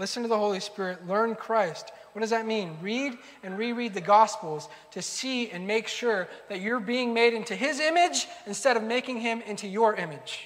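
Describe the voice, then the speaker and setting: Amid noticeable background noise and audible room echo, a man speaks at a moderate pace in a high pitch. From United States, Argentine-Peruvian immigrant family. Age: 30s. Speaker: pastor. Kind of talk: sermon.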